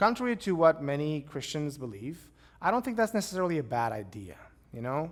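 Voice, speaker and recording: Speaking with a Romanian accent, a man uses a fairly high pitch. His pitch swings very widely and his pace is fairly quick. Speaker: pastor. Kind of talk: lecture; Q&A answers.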